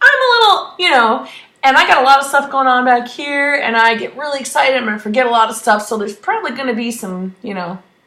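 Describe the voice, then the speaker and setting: A woman's raised, projected voice, high-pitched and animated, very fast with lively intonation, in audible room echo. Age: 30s. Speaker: cancer survivor vlogger. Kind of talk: personal vlog update.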